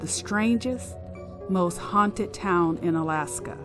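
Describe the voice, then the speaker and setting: Music runs underneath. The voice belongs to a woman. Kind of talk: ghost story reading.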